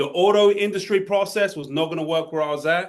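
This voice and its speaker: Talking at a fairly quick pace, a man uses an animated tone with ordinary pitch variation. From Essex, England. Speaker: sales trainer. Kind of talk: workshop talk. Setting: live workshop with audience and online chat.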